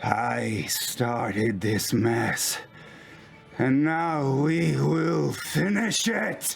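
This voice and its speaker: With music in the background, a man puts on a raspy character voice and speaks at a very slow pace. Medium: actual play. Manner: commanding.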